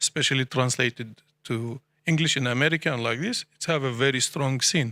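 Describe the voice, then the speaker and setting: With an Arabic accent, a man speaks at medium pitch and a fairly quick pace in a bright, sharp tone, the sound dry and close with no echo. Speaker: poet. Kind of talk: panel discussion. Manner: halting.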